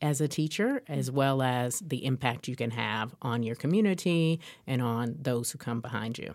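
With an American accent, a woman speaks at a moderate pace in a very deep, low voice with ordinary pitch variation, on a very clean recording with a silent background. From Chicago. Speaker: state education official. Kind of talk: podcast interview.

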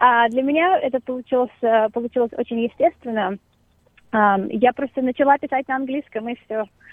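A woman's high-pitched voice with ordinary pitch variation and long, frequent pauses. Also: moderate pace. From Russia, Moscow. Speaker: singer-songwriter. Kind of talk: interview.

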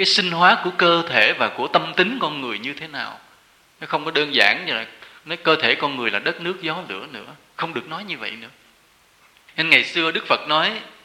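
Over noticeable background noise, a man speaks at a fairly high pitch, with lively intonation and big swings in loudness. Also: moderate pace. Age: 40s. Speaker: Buddhist monk giving a dharma talk. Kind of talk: sermon.

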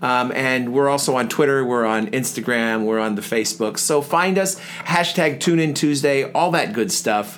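There is noticeable background noise as a man talks with hardly any pauses. His intonation is lively. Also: medium pitch for a man, moderate pace. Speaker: podcast co-host. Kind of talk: casual chat. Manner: put-on radio voice in the show opening.

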